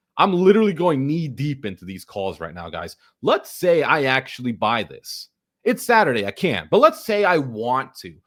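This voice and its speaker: On a very clean recording with a silent background, a man speaks at a moderate pace in an animated tone, his fairly high pitch making very wide swings and his loudness rising and falling sharply. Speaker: online finance educator. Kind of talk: tutorial.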